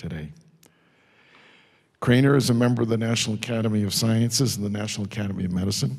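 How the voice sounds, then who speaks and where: A man talks very fast, with ordinary pitch variation, and the background stays quiet. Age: 70s. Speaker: scientist introducing a speaker at a symposium; speaker. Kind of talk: symposium tribute and speaker introduction. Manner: conversational, informal. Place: classroom. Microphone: handheld.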